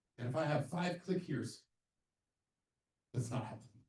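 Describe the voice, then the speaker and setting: Somewhat breathy with a dark, mellow tone, a man speaks with lively intonation amid audible room echo. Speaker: accessibility trainer. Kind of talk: lecture. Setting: presentation room with audience and Zoom. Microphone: sound issues for Zoom listeners.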